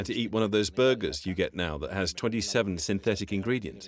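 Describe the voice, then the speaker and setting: At a very fast pace, a man speaks in a fairly low pitch with ordinary pitch variation. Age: 60s. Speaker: health coach. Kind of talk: interview. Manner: animated.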